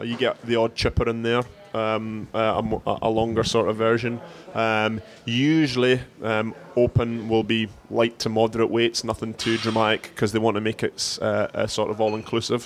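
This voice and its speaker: Against music in the background, a man with a Scottish accent speaks at medium pitch and a moderate pace in a monotone, flat intonation. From Scotland. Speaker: CrossFit head coach. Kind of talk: casual chat. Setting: gym with class going on nearby. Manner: hesitant, many fillers and repeats.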